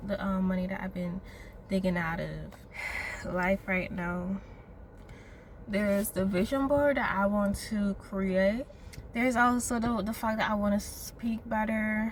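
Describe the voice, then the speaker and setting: At a fairly slow pace, a woman talks in a medium pitch with fairly even intonation. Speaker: vlogger. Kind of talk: personal vlog monologue. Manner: reflective, hesitant.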